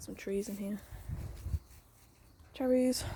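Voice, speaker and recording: Quiet, somewhat breathy woman's voice with an English accent, medium pitch, fairly even intonation and a dark, mellow tone. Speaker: gardening vlogger. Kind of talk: casual garden tour vlog. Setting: outdoors in garden and greenhouse.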